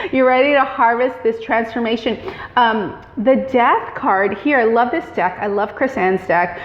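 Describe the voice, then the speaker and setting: A woman's fairly high voice at a fairly slow pace, with ordinary pitch variation over noticeable background noise. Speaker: tarot reader. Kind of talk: tarot reading monologue. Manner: filler-heavy with frequent um.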